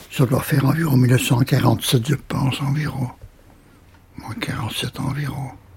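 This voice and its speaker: Against noticeable background noise, a man with a medium pitch and fairly even intonation speaks at a very slow pace, with long, frequent pauses. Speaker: elderly local resident. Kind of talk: testimony. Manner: halting.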